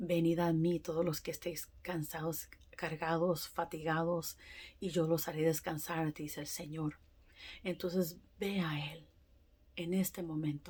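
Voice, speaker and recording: Her voice is fairly low and somewhat breathy, and the woman speaks in a flat monotone. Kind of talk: testimony. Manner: halting; emphatic.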